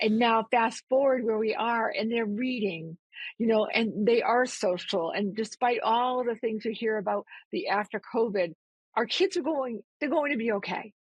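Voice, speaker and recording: Somewhat breathy and fairly high-pitched, a woman with a Massachusetts accent speaks at a moderate pace with ordinary pitch variation. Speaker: nonprofit CEO. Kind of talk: interview conversation.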